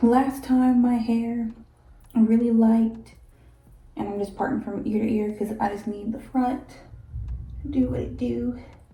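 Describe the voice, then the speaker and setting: A woman whispers in a somewhat breathy voice at a fairly slow pace, with long, frequent pauses and audible room echo. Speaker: hair vlogger. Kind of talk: casual hair tutorial vlog. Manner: whispering.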